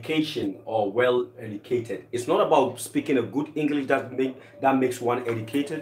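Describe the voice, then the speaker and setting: A fairly quick pace in a Ghanaian accent, with ordinary pitch variation over noticeable background noise. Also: man, medium pitch for a man. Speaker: co-host, host's husband. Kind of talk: casual chat. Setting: live stream from home kitchen.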